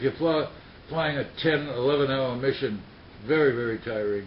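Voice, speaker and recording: A man with an American accent at a moderate pace, fairly even in intonation, over noticeable background noise. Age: 90s. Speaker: war veteran. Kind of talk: interview. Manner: halting.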